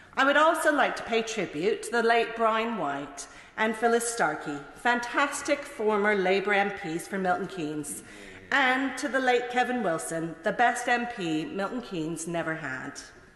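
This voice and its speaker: A woman with a Mid-Atlantic accent talks at a moderate pace and a fairly high pitch with very wide pitch swings, amid audible room echo and noticeable background noise. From Canada. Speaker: politician. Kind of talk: parliamentary speech. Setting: parliament chamber. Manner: formal.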